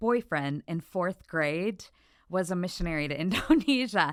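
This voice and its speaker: On a very clean recording with a silent background, a woman with an American accent talks at a fairly slow pace with very wide pitch swings. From Michigan, US Midwest. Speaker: former missionary. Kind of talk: podcast interview, personal testimony.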